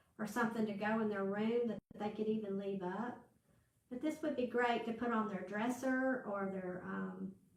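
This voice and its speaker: In a Southern US accent, a woman speaks at a moderate pace with fairly even intonation. Her pitch is fairly high, and audible room echo surrounds her voice. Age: 60s. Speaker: crafting channel host. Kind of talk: live craft tutorial. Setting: livestream with viewer chat. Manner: casual, chatty with fillers.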